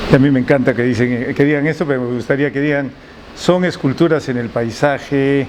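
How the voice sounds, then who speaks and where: Noticeable background noise accompanies a man speaking at a moderate pace. His medium-pitched voice keeps a fairly even intonation. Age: 60s. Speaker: architect and sculptor. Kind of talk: interview. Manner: halting.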